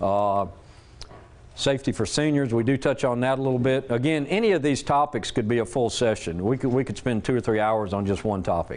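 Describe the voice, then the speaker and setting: A man with a Southern US accent at a fairly quick pace. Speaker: safety presenter and military veteran. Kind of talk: presentation to an audience. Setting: church hall with live audience. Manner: loud; casual, conversational.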